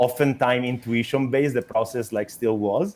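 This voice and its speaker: A man with an Italian accent talks at a moderate pace. His medium pitch shows ordinary variation. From Italy. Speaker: startup founder. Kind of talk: interview. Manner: halting, many fillers and repetitions.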